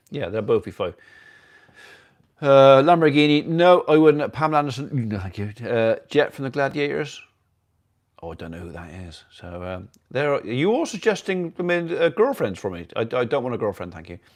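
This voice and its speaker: At a moderate pace, a man with an English accent and a fairly high voice swings very widely in pitch and loudness against a quiet background. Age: 60s. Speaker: farmer and livestream host. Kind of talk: casual livestream chat reading viewer comments. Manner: halting, many fillers.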